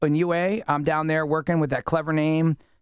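A man with a plain, everyday voice and fairly high pitch talks at a fairly quick pace on a very clean recording with a silent background. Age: 40s. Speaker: musician, singer-songwriter. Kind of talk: casual chat. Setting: studio.

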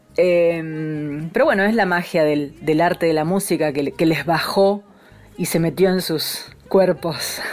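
Over noticeable background noise, a woman with a fairly low pitch talks at a fairly slow pace. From Argentine provinces. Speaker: radio host and folk singer. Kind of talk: radio program hosting. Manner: warm, animated.

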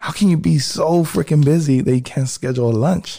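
Somewhat breathy and dark, mellow in tone, a man's voice carries ordinary pitch variation. He speaks at a fairly quick pace. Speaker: barber and class instructor. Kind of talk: casual chat.

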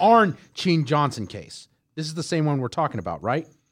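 A plain, everyday voice from a man with an American accent, fairly high pitch, lively intonation, a moderate pace and a quiet background. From Houston, Texas. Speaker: podcast co-host. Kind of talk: casual chat with read-out research.

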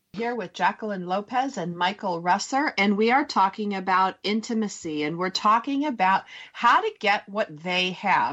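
The woman has an unremarkable speaking voice at medium pitch. She talks at a moderate pace with lively intonation. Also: hardly any pauses. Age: 40s. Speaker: radio show host. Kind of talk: interview talk show. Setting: radio studio.

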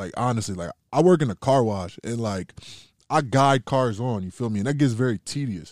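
A man speaks in a plain, everyday voice of medium pitch with lively intonation. The recording is very clean with a silent background and a dry, close sound with no echo. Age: 20s. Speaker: rapper. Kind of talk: casual chat. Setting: podcast interview.

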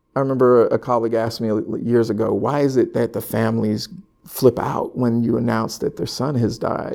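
A man talks at a fairly quick pace with a West Coast accent. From California (Sacramento). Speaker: hospital violence intervention manager. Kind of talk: casual interview chat. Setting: in person, Philadelphia.

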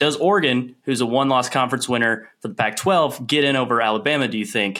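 A man with an American accent talks at a fairly quick pace, his medium-pitched voice bright and sharp in tone. His pitch varies in an ordinary way. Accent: Southern US, toned down. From Tennessee. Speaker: podcast crew member.

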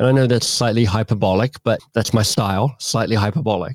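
A man with an Australian accent at a moderate pace, ordinary pitch variation, and a very clean recording over a silent background. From Australia (Canberra). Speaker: author and coach. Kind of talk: interview conversation.

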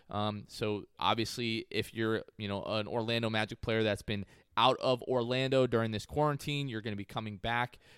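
A man with a plain, everyday voice, medium in pitch, at a moderate pace with hardly any pauses, fairly even intonation and a dry, close sound with no echo. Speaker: podcast host. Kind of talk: casual chat.

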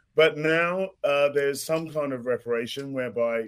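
A man with a British accent talks at a fairly slow pace with ordinary pitch variation. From London, born in Ghana. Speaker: mixologist and author. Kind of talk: casual chat.

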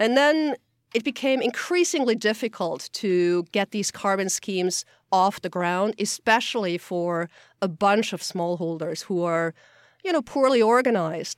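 A woman with a German accent speaks at a fairly slow pace and medium pitch with lively intonation, in a dry, close sound with no echo on a very clean recording with a silent background. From Austria. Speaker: geographer and climate report author. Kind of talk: interview.

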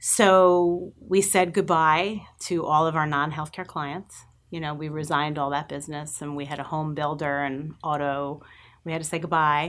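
Against a quiet background, a woman with a Long Island accent and a very deep, low pitch speaks at a moderate pace with fairly even intonation. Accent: Long Island New York. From Long Island, New York. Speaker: agency president. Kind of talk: interview. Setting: live-streamed studio interview.

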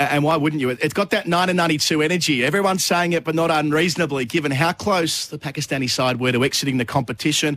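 Hardly any pauses break this man's very fast pace. He has an Australian accent and a fairly high pitch. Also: ordinary pitch variation. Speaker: radio host. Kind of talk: casual chat. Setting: studio.

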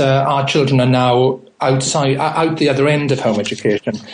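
A man speaks with a British accent at a moderate pace. Noticeable background noise sits under his voice. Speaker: home educator and education writer. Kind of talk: radio interview.

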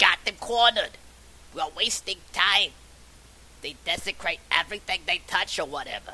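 In a put-on character voice, a female-sounding speaker at a medium pitch keeps a moderate pace with long, frequent pauses, over clear background noise. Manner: commanding, urgent.

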